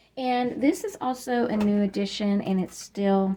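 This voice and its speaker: A woman speaks with a dark, mellow tone and a somewhat breathy quality. Her intonation is lively. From Kentucky. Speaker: YouTube decluttering vlogger. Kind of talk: casual home-tour vlog. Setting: at home, utility closet. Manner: hesitant, many filler ums.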